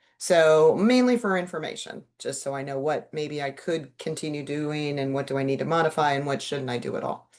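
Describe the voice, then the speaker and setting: A woman speaks with a very deep, low pitch and ordinary pitch variation. Her pace is fairly quick, with hardly any pauses. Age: 60s. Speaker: animal wellness practitioner. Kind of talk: casual monologue. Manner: casual, conversational.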